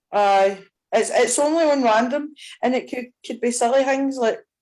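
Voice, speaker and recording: A woman with a Scottish accent speaks in a dark, mellow tone. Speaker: audience member asking a question. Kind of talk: live Q&A on a video call. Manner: fast.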